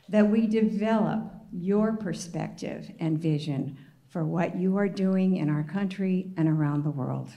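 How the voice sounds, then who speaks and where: Noticeable background noise sits behind a woman speaking at a fairly slow pace. Her medium pitch shows ordinary variation. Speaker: prayer leader. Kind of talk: spoken prayer.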